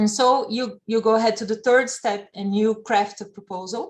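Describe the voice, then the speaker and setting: A woman with a non-native accent speaks slowly-ish, at a fairly slow pace, with fairly high pitch and fairly even intonation, in a very clean recording with a silent background. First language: not English. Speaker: event participant. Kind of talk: Q&A discussion. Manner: halting.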